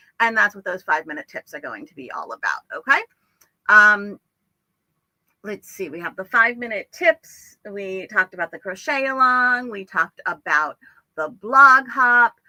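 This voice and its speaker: Moderate pace, lively intonation and a bright, sharp tone, with big swings in loudness and a dry, close sound with no echo. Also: woman, fairly high pitch for a woman. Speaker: crochet teacher and livestream host. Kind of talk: live stream tutorial. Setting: live stream. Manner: casual, with many fillers.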